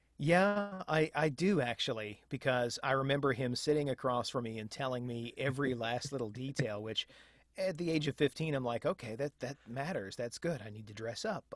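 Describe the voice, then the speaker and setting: A man with an American accent has an unremarkable speaking voice, medium pitch, and lively intonation at a moderate pace. The very clean recording sounds dry and close, with no echo and a silent background. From United States, Tampa Bay area. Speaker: professional voice actor, audiobook narrator and audio producer. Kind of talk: podcast interview answer.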